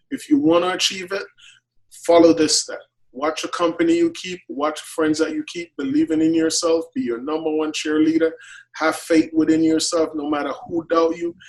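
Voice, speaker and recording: A man with a Jamaican accent at a moderate pace, fairly high in pitch, his intonation fairly even. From Jamaica, Clarendon. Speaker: chef. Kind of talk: interview.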